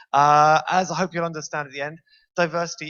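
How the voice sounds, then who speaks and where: The speaker talks at a fairly quick pace. The accent is British. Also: man. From Britain. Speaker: university lecturer and game developer. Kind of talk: conference talk. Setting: stage with audience. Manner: fast.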